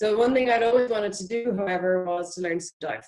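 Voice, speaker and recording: A woman speaks at a very fast pace with an Irish accent and ordinary pitch variation. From Ireland, Dublin. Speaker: marine biology PhD researcher. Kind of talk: online talk.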